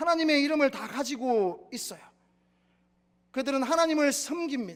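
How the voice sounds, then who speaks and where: A man with a Gyeongsang accent, extremely high in pitch, at a moderate pace with ordinary pitch variation. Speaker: pastor. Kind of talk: sermon.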